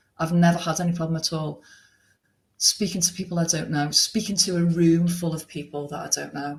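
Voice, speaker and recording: A woman with a strong Liverpool accent has a fairly low, somewhat breathy voice. She keeps a moderate pace and fairly even intonation. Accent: Liverpool (Scouse), still strong. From Liverpool, England. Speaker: restaurant owner. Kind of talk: podcast interview. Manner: chatty.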